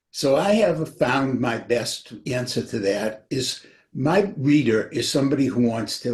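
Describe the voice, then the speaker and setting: A man's somewhat breathy voice, medium in pitch, with ordinary pitch variation. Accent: New England. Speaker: author. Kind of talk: casual chat.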